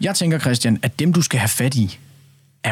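With lively intonation, a man talks in a somewhat breathy voice, recorded dry and close with no echo. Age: young. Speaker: radio host. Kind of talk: radio discussion. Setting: studio.

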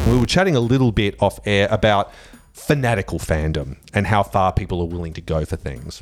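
A man with an Australian accent speaks at a fairly quick pace and a fairly low pitch while music plays in the background. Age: 40s. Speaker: radio host. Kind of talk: casual chat. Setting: studio.

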